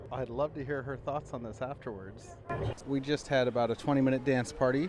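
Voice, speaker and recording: Noticeable background noise sits behind a man's medium-pitched voice. He talks at a fairly quick pace with fairly even intonation. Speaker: podcast host. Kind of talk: casual chat. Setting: in a car; theme park, portable recorder. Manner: soft-spoken. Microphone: portable audio recorder, poor audio.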